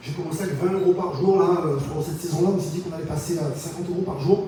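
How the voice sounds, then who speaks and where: A man speaks at a fairly quick pace with a high pitch. Noticeable background noise and audible room echo fill the recording. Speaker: entrepreneur giving a talk. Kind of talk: conference presentation. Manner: hesitant, repeats words.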